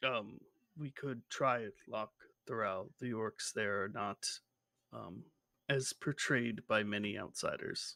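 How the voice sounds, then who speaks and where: In a put-on character voice, a man talks at a fairly slow pace and medium pitch with long, frequent pauses, on a very clean recording with a silent background. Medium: actual play.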